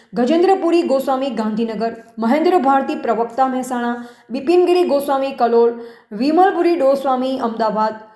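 Noticeable background noise and audible room echo surround a woman speaking in a high pitch with ordinary pitch variation. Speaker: news reporter. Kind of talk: news reading.

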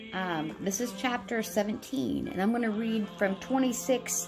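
With clear music in the background, a woman with an American accent talks at a fairly slow pace with ordinary pitch variation. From United States. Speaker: religious vlogger. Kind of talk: religious talk to camera. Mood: calm, earnest, devout. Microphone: phone near.

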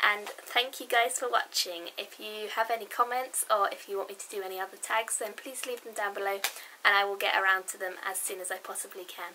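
Light background noise accompanies a woman talking. Her pace is fairly quick and her intonation fairly even. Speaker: book vlogger. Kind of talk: casual vlog chat. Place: home room.

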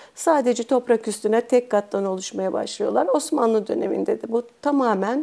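Against a quiet background, a woman talks at a moderate pace in a high pitch. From Turkey, Bursa; Turkey. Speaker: art history professor. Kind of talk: expert interview monologue. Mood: calm, explanatory. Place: studio. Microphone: lapel.

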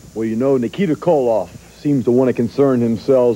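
This man's tone is dark and mellow. He talks at a fairly quick pace. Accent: American. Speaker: professional wrestler. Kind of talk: wrestling promo. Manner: intense, threatening.

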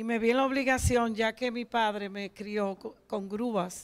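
A woman speaks at a fairly slow pace in a fairly high pitch, with fairly even intonation against a quiet background. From Dominican Republic. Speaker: truck and heavy equipment driver; guest. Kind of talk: TV interview. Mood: warm, nostalgic. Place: studio. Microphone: handheld.

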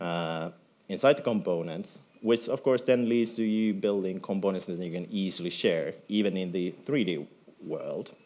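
In a Finnish accent, a man with a fairly low pitch and a dark, mellow tone talks at a moderate pace with lively intonation. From Finland. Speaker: software developer; conference speaker. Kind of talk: conference talk. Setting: stage with audience. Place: hall.

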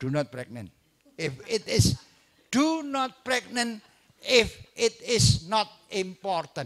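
In an Indonesian accent, a man talks very slowly at a high pitch, his voice making very wide pitch swings between long, frequent pauses. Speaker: obstetrician lecturer. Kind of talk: lecture. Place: hall. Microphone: handheld.

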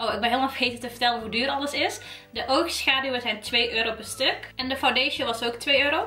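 Speaking at a very fast pace, a woman uses a raised, projected voice. Audible room echo and faint music in the background surround her. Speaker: beauty vlogger. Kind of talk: casual makeup review chat.

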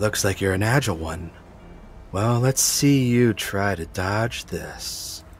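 Using a put-on character voice, a man speaks breathily at a fairly low pitch and a fairly slow pace, with clear background noise.

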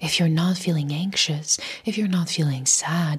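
Somewhat breathy and fairly low, a woman's voice shows ordinary pitch variation over a quiet background. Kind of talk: motivational talk to camera. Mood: soft, calm, soothing. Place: home room. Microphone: lapel.

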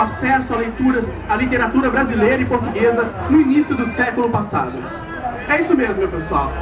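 Noticeable background noise runs beneath speech delivered fairly quickly. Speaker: host of a street event. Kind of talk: mock bingo-hall calling, playful street-protest performance. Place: street. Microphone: pa.

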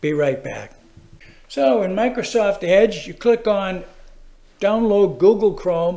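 At a fairly slow pace, the voice has a dark, mellow tone and lively intonation. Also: man. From Massachusetts. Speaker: how-to video presenter. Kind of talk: tutorial. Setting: screen-recorded video. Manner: casual, chatty, animated.

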